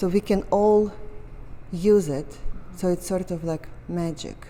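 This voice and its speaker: A woman talks very slowly with a Russian accent. Her intonation stays fairly even. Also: medium pitch for a woman. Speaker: painter. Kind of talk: casual chat. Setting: art gallery.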